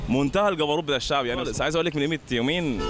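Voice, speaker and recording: Over faint music in the background, a man talks at a very fast pace in a dry sound with no echo. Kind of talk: interview answer. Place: street. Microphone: handheld.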